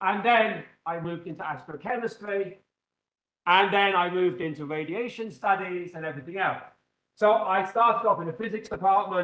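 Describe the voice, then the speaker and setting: With an English accent, a man speaks at a moderate pace in a high pitch with ordinary pitch variation. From England. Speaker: physics professor. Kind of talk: lecture. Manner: loud; animated.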